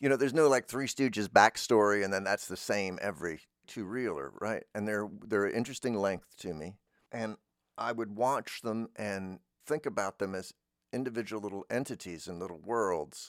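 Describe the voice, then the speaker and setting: Dry and close with no echo, the very clean recording has a silent background. A man talks at a moderate pace and a fairly low pitch with ordinary pitch variation. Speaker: radio host who makes fiction. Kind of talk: casual musing, rambling conversation. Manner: halting, hesitant, self-interrupting.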